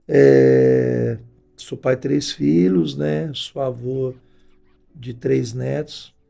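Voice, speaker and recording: Over music in the background, a man with a very deep, low pitch speaks at a very slow pace, with very wide pitch swings and long, frequent pauses. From São Paulo, Brazil. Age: 60s. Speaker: pastor. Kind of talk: interview. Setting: studio.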